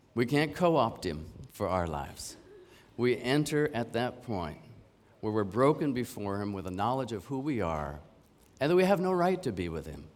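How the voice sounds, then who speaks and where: Medium-pitched speech from a man with a Canadian accent, moderate pace, very wide pitch swings and audible room echo. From Canada. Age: 50s. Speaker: preacher. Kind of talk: sermon.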